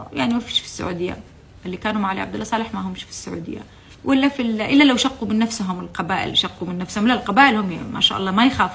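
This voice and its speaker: A woman talks at a very fast pace with a fairly high pitch and big swings in loudness. Noticeable background noise is present. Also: ordinary pitch variation. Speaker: former TV channel employee. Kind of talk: testimony. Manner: impassioned; halting.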